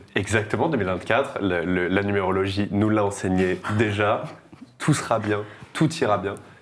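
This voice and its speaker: A man at a fairly low pitch and fairly slow pace, with audible room echo. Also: ordinary pitch variation. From France, Tours. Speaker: podcast host. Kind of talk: casual chat.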